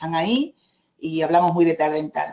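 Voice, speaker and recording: The speech comes at a fairly quick pace in an Andalusian accent. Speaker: direct sales manager. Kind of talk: presentation.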